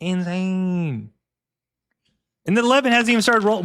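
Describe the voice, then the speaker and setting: Loud and animated in tone, a man speaks with a dry, close sound that has no echo. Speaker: board game streamer. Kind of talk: live gameplay commentary. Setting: live stream.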